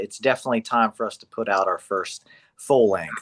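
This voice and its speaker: A man with a Southern US accent is heard in a dry, close sound with no echo against a quiet background. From Charleston, South Carolina. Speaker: band guitarist. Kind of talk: casual interview chat.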